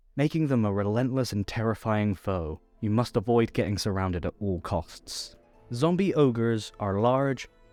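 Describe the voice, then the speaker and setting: Over music in the background, a man with a fairly low voice talks at a moderate pace with ordinary pitch variation. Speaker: voice actor. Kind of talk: narrated tutorial.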